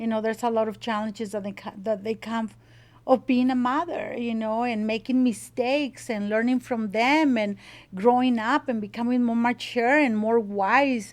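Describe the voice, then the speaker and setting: A woman with a Mexican accent speaks at a fairly high pitch and a moderate pace. Her intonation is fairly even, and the recording is very clean with a silent background. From Mexico (Monterrey). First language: Spanish. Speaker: salsa business owner. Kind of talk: interview. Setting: home kitchen. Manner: passionate.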